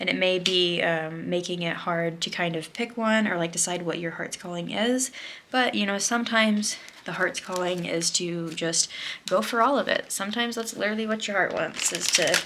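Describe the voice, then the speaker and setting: Against noticeable background noise, a woman's voice holds a medium pitch. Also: ordinary pitch variation. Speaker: tarot card reader. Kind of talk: pick-a-card tarot reading. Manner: fast; casual, many filler words.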